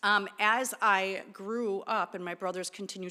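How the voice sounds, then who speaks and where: A loud woman with an American accent and a bright, sharp tone, on a very clean recording with a silent background. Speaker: therapist and clinic director. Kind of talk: talk to an audience. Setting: church with audience.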